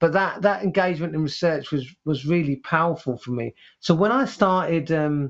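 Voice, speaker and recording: Speaking with a London accent, a man has a fairly high pitch. His pace is moderate and his pitch variation ordinary. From East London, England. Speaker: headteacher and author. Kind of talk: interview conversation. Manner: halting, many repetitions and fillers; passionate, animated.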